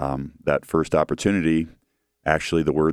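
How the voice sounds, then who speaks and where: A man with a Midwestern American accent, very deep and low in pitch, flat and monotone, at a moderate pace. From Central Ohio, Grandview. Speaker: metalwork business executive. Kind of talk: interview.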